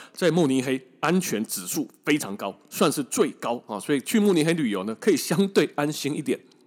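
In a very clean recording with a silent background, a man with a fairly high pitch and vocal fry speaks at a moderate pace with very wide pitch swings and hardly any pauses. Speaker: travel podcast host, former tour leader. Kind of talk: casual storytelling monologue. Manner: slightly labored speech.

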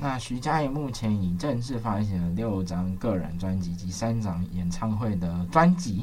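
Somewhat breathy, this man's voice sits fairly low in pitch. His pitch varies in an ordinary way. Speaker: campus radio host. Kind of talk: radio music show chat. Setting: radio studio.

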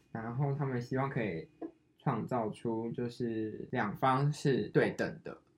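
Music plays in the background. A man speaks very slowly, with ordinary pitch variation. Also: medium pitch for a man. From Taiwan. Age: 20s. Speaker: podcast co-host, designer. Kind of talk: casual chat.

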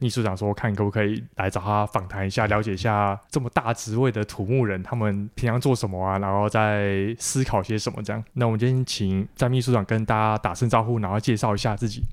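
A man with a plain, everyday voice speaks fairly low and fairly quickly, with fairly even intonation and hardly any pauses. The recording is very clean, with a silent background. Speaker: podcast host, civil engineer. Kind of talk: interview.

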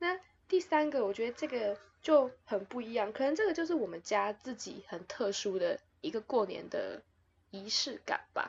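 Very wide pitch swings in a woman's high voice, at a moderate pace. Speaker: podcast host. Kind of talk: casual chat. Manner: loud.

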